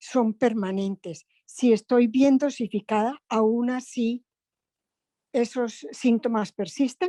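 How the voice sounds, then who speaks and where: Speaking at a very slow pace, a woman with a fairly high pitch, a dark, mellow tone and ordinary pitch variation comes through in a dry, close sound with no echo. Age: 70s. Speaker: patient asking a question. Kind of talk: audience question.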